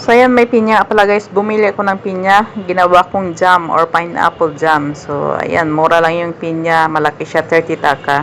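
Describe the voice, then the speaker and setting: A woman's fairly low voice at a moderate pace, hardly pausing, over noticeable background noise. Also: ordinary pitch variation. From Philippines. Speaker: vlogger. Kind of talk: market vlog narration. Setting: outdoor market.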